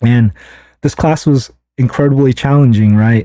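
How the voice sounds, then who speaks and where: Fairly even intonation carries the words along at a moderate pace. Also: man. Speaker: engineer and storyteller vlogger. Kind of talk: personal storytelling monologue. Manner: casual, many fillers and repetitions.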